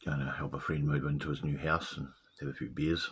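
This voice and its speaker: A man's very deep, low voice with vocal fry and monotone, flat intonation, in a New Zealand accent. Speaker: video blogger. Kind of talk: casual monologue. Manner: halting.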